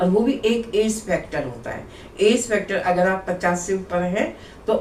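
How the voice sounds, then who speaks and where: Her voice carries audible room echo. The pitch variation is ordinary for this woman. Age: 60s. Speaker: yoga teacher. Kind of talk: tutorial. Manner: conversational.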